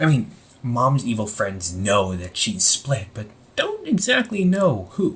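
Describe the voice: At a slow pace, a put-on character voice with a fairly bright tone moves through very wide pitch swings. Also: man, medium pitch for a man.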